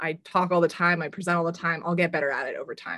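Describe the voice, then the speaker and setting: With an American accent, a woman has an unremarkable speaking voice and a fairly low pitch. She talks at a fairly quick pace against a quiet background. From US West Coast, San Francisco Bay Area. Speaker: marketing director, former strength coach. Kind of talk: panel discussion. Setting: video call.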